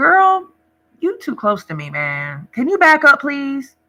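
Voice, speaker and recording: Fairly slow, high, female-sounding delivery in a put-on character voice. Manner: calm, polite.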